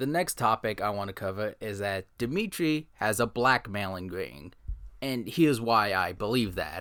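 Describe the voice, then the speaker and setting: Vocal fry marks this man's fairly low voice as his pitch swings very widely. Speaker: commentary youtuber. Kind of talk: scripted commentary video narration.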